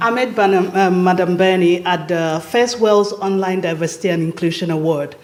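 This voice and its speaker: Audible room echo hangs around the woman. Her pitch varies in an ordinary way. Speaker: speaker at women's retreat. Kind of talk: personal testimony. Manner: loud; halting.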